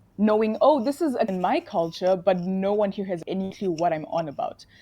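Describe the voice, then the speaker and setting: In a Zimbabwean accent, a woman with a dark, mellow tone and medium pitch speaks at a moderate pace with lively intonation. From Zimbabwe and Namibia. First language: Shona. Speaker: nursing student. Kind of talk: interview.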